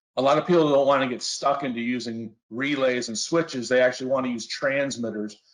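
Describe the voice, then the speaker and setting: At a fairly quick pace, a man speaks in a plain, everyday voice at a medium pitch. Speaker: industrial flame sensor application specialist. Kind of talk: technical webinar presentation. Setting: online webinar.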